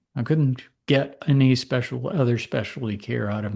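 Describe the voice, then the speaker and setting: A man with a somewhat breathy, dark, mellow tone and medium pitch talks at a moderate pace against a quiet background. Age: 60s. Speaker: physician. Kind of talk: interview. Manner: conversational.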